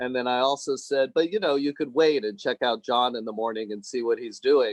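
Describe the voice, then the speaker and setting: A man speaks at a medium pitch. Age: 60s. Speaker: meditation group participant. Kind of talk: sharing in online group. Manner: halting, many fillers.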